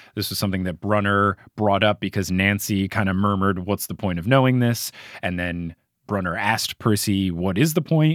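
Here is a man with an ordinary speaking voice and an American accent, pitched fairly low with ordinary pitch variation. He talks at a fairly quick pace in a very clean recording with a silent background, the sound dry and close with no echo. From US Northeast, New Jersey. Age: 20s. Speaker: podcast host. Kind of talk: casual book discussion podcast.

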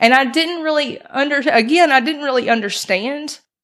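A woman is speaking. She has a Mississippi accent. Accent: Southern US (Mississippi). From US South, Mississippi (Brandon). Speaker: recovering addict sharing faith story. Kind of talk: testimony.

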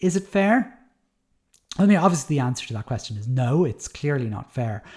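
A man speaks at medium pitch with lively intonation. His voice is somewhat breathy. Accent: Dublin. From Ireland, Dublin. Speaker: podcast host, primary teacher. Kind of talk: solo commentary podcast. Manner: casual, hesitant with many fillers.

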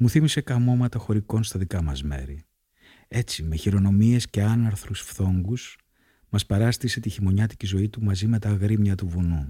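Speaking in a calm tone at a moderate pace, a man uses a fairly low pitch, lively intonation and a dark, mellow, somewhat breathy tone. The sound is dry and close with no echo, on a very clean recording with a silent background. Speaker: podcast host reading diary. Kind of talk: reading aloud from a travel diary. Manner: measured, calm, narrative reading.

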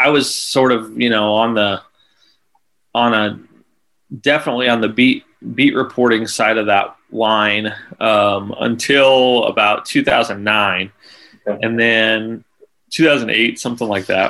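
Here a man with an American accent has a bright, sharp tone and fairly even intonation. He goes at a fairly slow pace, with long, frequent pauses. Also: medium pitch for a man. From rural Nebraska. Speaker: sports journalist. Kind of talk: casual interview. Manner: halting, many fillers and repeats.

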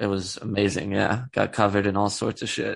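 Vocal fry against a quiet background. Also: man. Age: 30s. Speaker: podcast guest. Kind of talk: casual chat.

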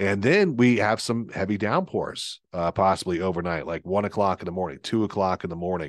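Against a quiet background, a man with a very deep, low pitch speaks at a fairly quick pace. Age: 50s. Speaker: TV meteorologist. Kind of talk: solo podcast weather talk. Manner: casual, with many filler words.

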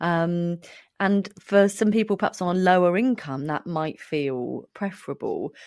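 In a British accent, a speaker moves at a fairly slow pace with ordinary pitch variation, in a very clean recording with a silent background. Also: woman, fairly low pitch for a woman. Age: 40s. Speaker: podcast host, clinical psychologist. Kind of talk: casual interview chat.

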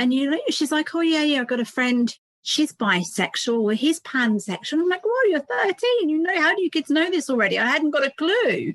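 A woman with a southern England accent, a high pitch, very wide pitch swings, a fairly quick pace, and hardly any pauses, in a dry, close sound with no echo. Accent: British English, southern England. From England, between London and Cambridge. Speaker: parenting author. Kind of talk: interview conversation.

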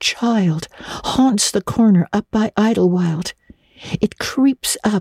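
The voice is a natural reading voice, set against a quiet background.

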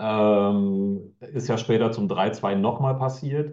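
A man speaks with a dark, mellow tone. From Bocholt, Münsterland, Germany. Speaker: guest, football fan and sponsor. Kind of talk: casual chat.

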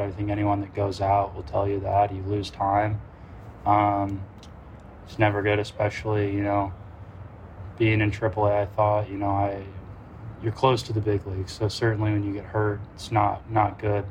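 At a moderate pace, a man speaks in a somewhat breathy, fairly low voice with a monotone, flat intonation. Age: 20s. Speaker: professional baseball pitcher. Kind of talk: interview. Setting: at a ballpark.

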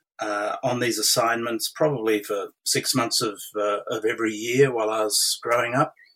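The speaker has an Australian accent and ordinary pitch variation. The pace is moderate, with hardly any pauses. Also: man. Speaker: retired intelligence official and diplomat. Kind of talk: interview. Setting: remote call from Australia. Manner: halting, many fillers.

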